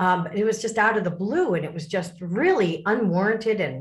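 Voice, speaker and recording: At a moderate pace, a woman speaks with lively intonation and a somewhat breathy voice amid audible room echo. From US Midwest, Lake Forest, Illinois. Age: 60s. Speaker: author and speaker on abuse recovery. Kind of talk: interview.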